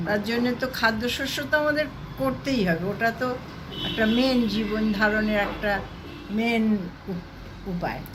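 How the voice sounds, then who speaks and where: Against noticeable background noise, a woman talks at a fairly high pitch with ordinary pitch variation. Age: 70s. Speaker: housewife. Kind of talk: interview answer.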